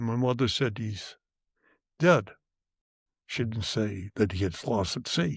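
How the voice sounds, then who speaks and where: A man with an American accent at a very slow pace, on a very clean recording with a silent background and a dry, close sound with no echo. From South Boston. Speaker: grandfather. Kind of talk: interview answer.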